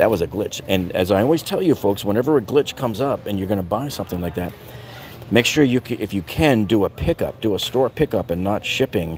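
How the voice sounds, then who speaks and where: In an ordinary speaking voice, a man talks at a fairly quick pace with lively intonation and a fairly low pitch, in a dry sound with no echo over light background noise. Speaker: tool deals reviewer. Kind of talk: casual livestream chat. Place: shop. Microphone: phone near.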